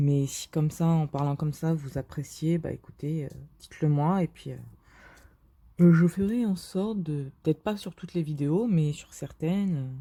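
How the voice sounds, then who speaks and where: In a very clean recording with a silent background, a woman with a very deep, low pitch and a dark, mellow tone speaks at a moderate pace, somewhat breathy, with ordinary pitch variation. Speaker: diamond painting youtuber. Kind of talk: casual vlog commentary while crafting. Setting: bedroom at someone else's home. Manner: speaking more quietly than usual; hesitant, many fillers.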